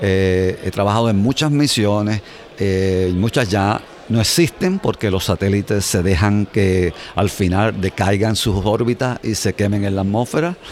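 Speaking at a fairly slow pace, a man with a fairly low pitch keeps his loudness very even over noticeable background noise. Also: ordinary pitch variation. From Puerto Rico. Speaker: space scientist. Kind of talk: interview. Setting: conference.

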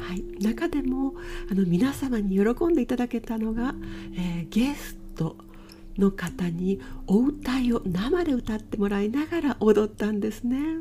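A woman's fairly high voice with very wide pitch swings at a fairly slow pace, music in the background. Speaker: butoh dancer and IT engineer hosting a podcast. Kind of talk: casual solo podcast talk. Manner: polite, formal.

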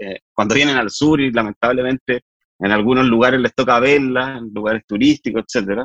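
With a Chilean accent, a man speaks at a fairly quick pace and medium pitch with ordinary pitch variation. The sound is dry and close, with no echo. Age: 40s. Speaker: politician. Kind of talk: interview. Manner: halting.

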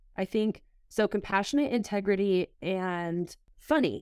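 Speaking at a fairly slow pace with an American accent, a woman uses an ordinary speaking voice at medium pitch with ordinary pitch variation, recorded very cleanly against a silent background with a dry, close sound and no echo. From Southern California. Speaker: college soccer goalkeeper. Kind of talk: casual interview.

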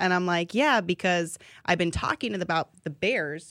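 In a very clean recording with a silent background and a dry, close sound with no echo, a woman with a fairly low pitch talks at a moderate pace with ordinary pitch variation. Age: 30s. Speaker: sports TV reporter. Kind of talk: casual interview.

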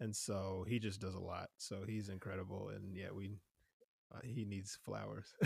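A man with an American accent speaks at a moderate pace, his fairly low voice showing vocal fry and a monotone, flat intonation. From New Jersey. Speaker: singer-songwriter. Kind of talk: casual interview. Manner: halting, many fillers.

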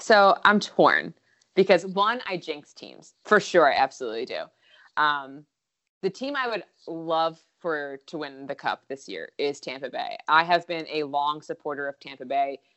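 A plain, everyday voice speaks with an American accent and lively intonation. Its loudness swings widely. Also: woman, fairly low pitch for a woman. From Philadelphia, US. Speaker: comedy video creator. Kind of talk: casual chat. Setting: phone call.

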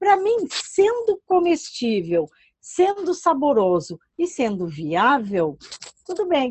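Very slowly, a woman speaks in a high voice that swings very widely in pitch. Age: 50s. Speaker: plant food specialist. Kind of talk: podcast interview.

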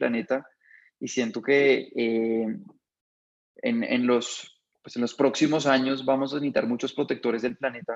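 At a moderate pace, a man talks in a plain, everyday voice with a medium pitch. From Colombia, Bogotá. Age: 30s. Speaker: restaurant chain founder. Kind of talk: interview.

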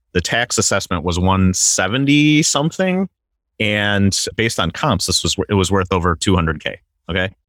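Here is a man with an ordinary speaking voice, a fairly low pitch and an American accent, at a moderate pace. The recording is very clean with a silent background, and the sound is dry and close with no echo. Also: lively intonation, very even loudness. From Wisconsin, US Midwest. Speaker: real estate investor. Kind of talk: interview.

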